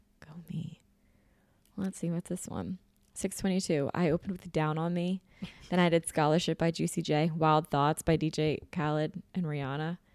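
A woman speaks in an animated tone at a fairly low pitch and a moderate pace, her loudness swinging widely, on a very clean, dry, close recording with a silent background and no echo. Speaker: podcast host and spin instructor. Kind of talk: casual chat.

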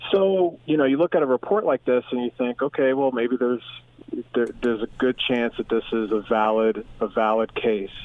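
A man speaks at a medium pitch and a moderate pace. His loudness stays very even. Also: ordinary pitch variation. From US Northeast, Philadelphia. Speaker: professor of sports and media. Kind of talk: interview. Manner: hesitant with fillers.

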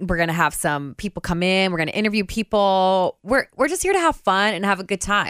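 In an ordinary speaking voice, a woman at a medium pitch talks at a fairly quick pace with hardly any pauses and ordinary pitch variation, in a dry, close sound with no echo. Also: very clean recording, silent background. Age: 20s. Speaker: radio host and podcast host. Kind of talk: casual chat. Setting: studio.

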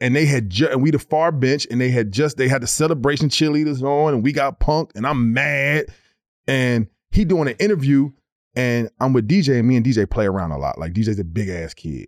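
At a fairly quick pace, a man with a normal speaking voice talks in a medium pitch with lively intonation. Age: 40s. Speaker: former NBA player. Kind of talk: casual chat.

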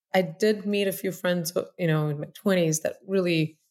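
At a moderate pace, a woman in a Russian accent speaks with a fairly low pitch and ordinary pitch variation. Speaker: tech startup founder and CEO. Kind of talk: podcast interview.

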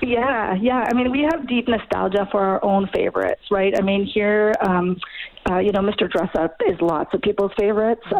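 A woman with an Ontario accent at a medium pitch, with ordinary pitch variation, very even loudness and a moderate pace, over noticeable background noise. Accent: Canadian (Ontario). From Ontario, Canada. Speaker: communication studies professor. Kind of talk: interview. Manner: hesitant, many fillers.

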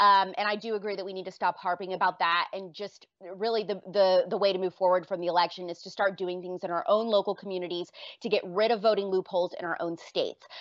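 Speaking at a very fast pace, a woman uses a medium pitch. Her intonation is monotone and flat. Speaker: political commentator. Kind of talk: casual debate.

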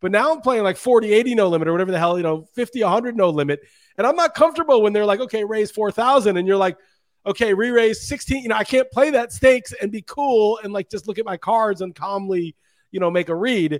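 Speaking very fast in a high pitch, a man delivers lively intonation and an animated tone in a dry, close sound with no echo. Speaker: fantasy football podcast host. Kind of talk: casual chat about football survivor pools. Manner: animated, casual, profane.

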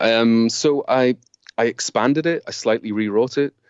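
A man in a Scottish accent with ordinary pitch variation. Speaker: author and creativity consultant. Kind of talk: interview.

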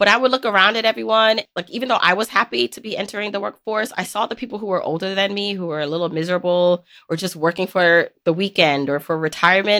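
Very fast delivery with hardly any pauses, ordinary pitch variation and a bright, sharp tone, on a very clean recording with a silent background. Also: woman, medium pitch for a woman. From Jamaica. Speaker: personal finance author and podcaster. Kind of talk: casual interview chat.

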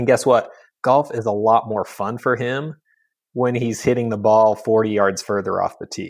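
A man with an ordinary speaking voice talks at medium pitch and a moderate pace. His intonation stays fairly even against a quiet background. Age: 30s. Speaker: sports biomechanics researcher. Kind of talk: casual interview.

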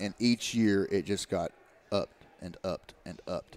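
Here a man speaks with an Appalachian accent at a moderate pace. His pitch is fairly low, with ordinary variation. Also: dry, close sound with no echo. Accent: Appalachian Kentucky. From Eastern Kentucky. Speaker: former college football player. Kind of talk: casual chat.

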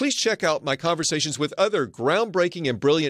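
A man with an American accent and vocal fry, in a dry, close sound with no echo. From US South, Arkansas. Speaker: podcast host, medical school dean. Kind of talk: interview conversation; scripted outro.

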